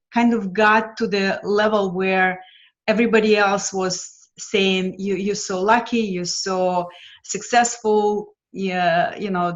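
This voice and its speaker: This woman speaks with a Lithuanian accent at a medium pitch. Her pace is very slow and her intonation fairly even. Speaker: financial mentor. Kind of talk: interview. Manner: hesitant with frequent fillers.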